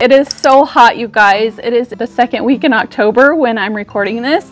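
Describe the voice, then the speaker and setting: Faint music plays in the background as a woman speaks at a high pitch and a moderate pace. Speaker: vlogger. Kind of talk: casual vlog chat. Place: street. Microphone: lapel.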